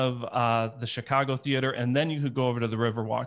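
A man with an American accent, medium pitch, moderate pace and fairly even intonation, a plain, everyday voice, on a very clean recording with a silent background. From US Midwest (Detroit area). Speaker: photographer and photography conference organizer. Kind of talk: casual interview.

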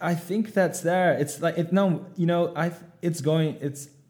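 Speaking at a moderate pace, a man with a Dutch accent has a dark, mellow tone. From Netherlands. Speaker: startup co-founder. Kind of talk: interview. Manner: halting.

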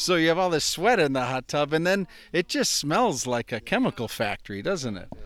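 At a fairly quick pace, a man speaks with very wide pitch swings. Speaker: podcast host. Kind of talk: casual interview. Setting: outdoors by a lake sauna.

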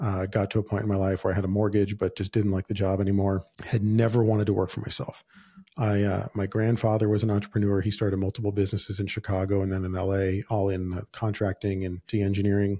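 A man speaks very fast with hardly any pauses, his fairly low, somewhat breathy voice dark and mellow in tone and flat, monotone in intonation. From Southern California. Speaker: podcast host, entrepreneur. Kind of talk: solo podcast monologue. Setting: office. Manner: casual, with frequent fillers.

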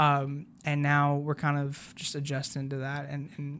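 A man speaks in a fairly high pitch with an American accent. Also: very clean recording, silent background. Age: 20s. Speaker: baseball team media coordinator. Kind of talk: casual interview. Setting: on location at a baseball stadium.

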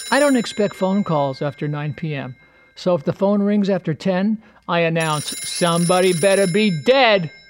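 A man's high-pitched, lively voice at a moderate pace, over background music. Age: 70s. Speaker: humorist. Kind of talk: comedic monologue.

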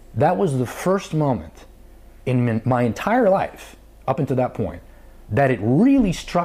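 A man with an American accent, medium pitch and a dark, mellow, somewhat breathy tone, his pitch swinging very widely at a fairly slow pace. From New York. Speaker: company founder. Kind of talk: casual chat.

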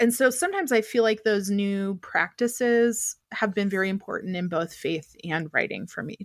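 With an American accent and an unremarkable speaking voice, a woman talks at a moderate pace and medium pitch with ordinary pitch variation on a very clean recording with a silent background. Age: 30s. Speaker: writer. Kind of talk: casual chat.

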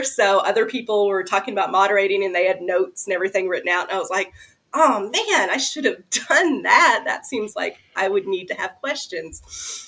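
This woman speaks with a Kentucky accent. Her pace is moderate. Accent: Southern US (Kentucky). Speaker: horror novelist. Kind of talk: casual chat.

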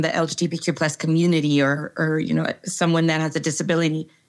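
A woman with an unremarkable speaking voice and an American accent talks fairly quickly at a fairly low pitch. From Texas, El Paso. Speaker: organizational psychologist. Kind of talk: interview conversation.

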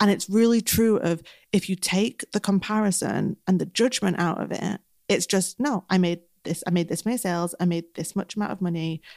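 A woman talks at a medium pitch. The sound is dry and close, with no echo. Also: very clean recording, silent background. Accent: strong northern English. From northern England. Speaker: business coach and podcast co-host. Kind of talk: casual advice chat. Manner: fast talker.

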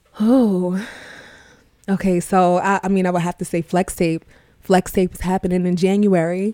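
The voice has a New York accent and a dark, mellow tone, delivered in a monotone, flat way at a moderate pace. Long, frequent pauses break up the speech, and the sound is dry and close with no echo. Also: woman, medium pitch for a woman. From Far Rockaway, Queens, New York. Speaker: school director and rapper. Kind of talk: casual interview.

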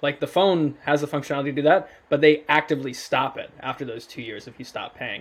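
A man speaks at a moderate pace in an unremarkable speaking voice, pitched fairly high. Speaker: podcast co-host. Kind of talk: casual interview conversation.

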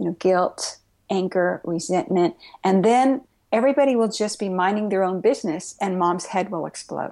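A woman talks at a moderate pace with a medium pitch and ordinary pitch variation in an unremarkable speaking voice. The recording is very clean, with a silent background. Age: 60s. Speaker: Zen Buddhist priest and author. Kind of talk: interview conversation.

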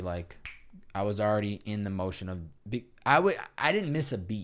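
Using a plain, everyday voice, a man talks at a fairly low pitch and moderate pace with an American accent. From Massachusetts, Chicopee. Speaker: podcast host. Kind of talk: casual chat.

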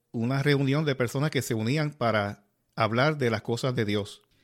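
A man with an ordinary speaking voice at medium pitch, a moderate pace, and fairly even intonation, on a very clean recording with a silent background. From Puerto Rico, Yabucoa. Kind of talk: casual religious interview.

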